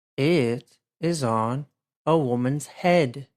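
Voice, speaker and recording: A very slow delivery in an American accent. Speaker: English teacher. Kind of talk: beginner language lesson narration. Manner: simple, clear, slow.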